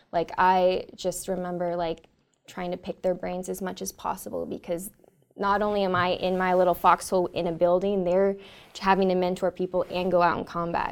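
Speaking at a moderate pace, a woman talks in a Californian accent. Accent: Californian American. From Northern California. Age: 20s. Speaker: army officer. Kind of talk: interview. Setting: studio.

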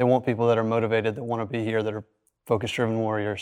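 A man speaks at a medium pitch, and the background remains quiet. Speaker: young airman, security forces. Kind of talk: interview answers. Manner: enthusiastic.

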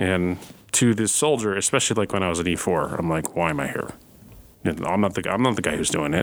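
A man with a very deep, low pitch and ordinary pitch variation speaks at a very fast pace. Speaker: podcast host. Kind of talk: interview host.

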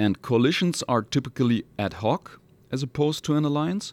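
A man with a German accent talks at a moderate pace with ordinary pitch variation, on a very clean recording with a silent background and dry, close sound with no echo. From Hamburg, northern Germany. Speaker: military lawyer. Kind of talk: interview.

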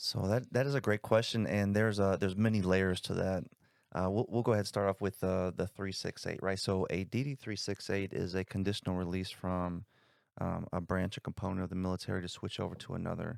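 Very cleanly recorded with a silent background, a man with an American accent speaks in a plain, everyday voice at a fairly low pitch, a fairly quick pace and fairly even intonation. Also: dry, close sound with no echo. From South Bend, Indiana. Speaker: army recruiter. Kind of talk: casual interview.

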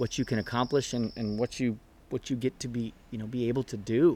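The speaker is a man with a Californian accent. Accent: Californian American. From US West Coast, San Diego area. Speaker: naval officer and program officer. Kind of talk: casual chat. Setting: outdoors on a backyard patio.

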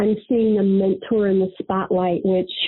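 With an American accent, a woman speaks at medium pitch and a moderate pace in a monotone, flat intonation. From Missouri (Fulton). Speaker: retired navy master chief. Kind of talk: interview.

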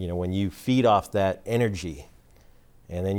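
Heard on a very clean recording with a silent background, a man has a plain, everyday voice, fairly low in pitch, with lively intonation and a fairly quick pace. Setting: studio.

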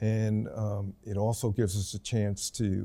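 On a very clean recording with a silent background, a man with an American accent speaks at a fairly low pitch in a dark, mellow tone with monotone, flat intonation. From New York City. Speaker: professor, retired air force officer. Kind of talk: interview.

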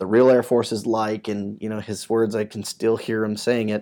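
A man with an American accent speaks in a normal speaking voice at a medium pitch and a fairly quick pace, on a very clean recording with a silent background. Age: 30s. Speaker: military first sergeant. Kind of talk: interview. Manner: conversational, with many fillers.

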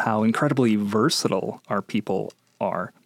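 Dry, close sound with no echo from a man with an Upper Midwest accent, fairly low in pitch, in a flat monotone. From Minnesota. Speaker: military chaplain, podcast host. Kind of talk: interview. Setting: studio.

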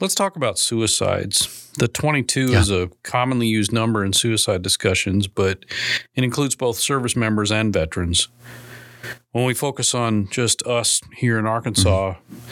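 In a normal speaking voice with an American accent, a man talks at a moderate pace and medium pitch with ordinary pitch variation, in a very clean recording with a silent background. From Minnesota. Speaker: podcast host, military public affairs officer. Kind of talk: interview.

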